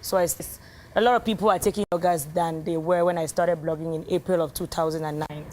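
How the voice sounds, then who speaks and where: A woman talks at a very fast pace with fairly even intonation. Her pitch sits fairly low. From Cameroon. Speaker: blogger and engineer. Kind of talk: TV interview. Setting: TV studio set. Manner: loud.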